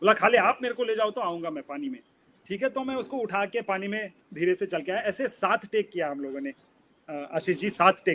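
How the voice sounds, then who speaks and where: A man speaks at a moderate pace with a high pitch, lively intonation and a bright, sharp tone. The recording is very clean, dry and close, with no echo and a silent background. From Udupi, coastal Karnataka, India. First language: Kannada (speaking Hindi). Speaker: film director. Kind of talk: interview, casual talk mixing Hindi and English.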